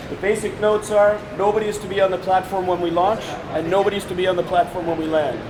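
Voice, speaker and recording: Amid noticeable background noise and audible room echo, a man speaks at a very fast pace in a high pitch with fairly even intonation. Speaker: film crew member. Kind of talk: safety briefing.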